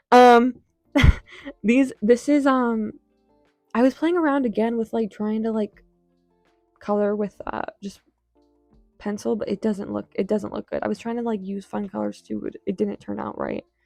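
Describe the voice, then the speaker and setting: With music in the background, a woman talks at a moderate pace, taking long, frequent pauses, the sound dry and close with no echo. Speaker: artist. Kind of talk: casual talk to camera. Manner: stuttering, rambling.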